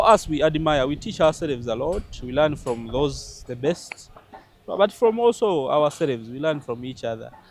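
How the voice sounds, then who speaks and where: A man with a fairly high pitch speaks at a moderate pace with lively intonation and big swings in loudness, music playing in the background. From Uganda. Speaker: football coach. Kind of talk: interview.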